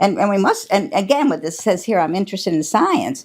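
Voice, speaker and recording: A woman with an American accent and lively intonation in a very clean recording with a silent background. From upstate New York, USA. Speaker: interviewee recalling her kindergarten year at a one-room schoolhouse. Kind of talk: oral history interview answer. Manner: conversational, reflective, with hesitations and fillers.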